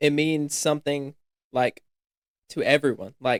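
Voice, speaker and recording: The speaker has a Southern US accent and a fairly slow pace. Pitch varies in an ordinary way. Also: man, dry, close sound with no echo. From US South (upstate South Carolina). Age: young (19). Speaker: college student, fashion stylist. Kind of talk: casual podcast chat.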